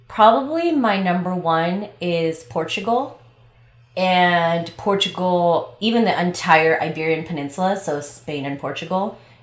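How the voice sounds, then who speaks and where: In an American accent, a woman speaks at a fairly low pitch and a fairly slow pace. Her pitch varies an ordinary amount, and the room echo is audible. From Los Angeles. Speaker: travel podcast co-host, event manager. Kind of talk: casual chat.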